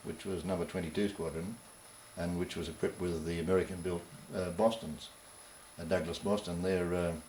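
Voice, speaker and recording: The pitch is very deep and low. It belongs to a man. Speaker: war veteran. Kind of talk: interview answer. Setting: old VHS dub.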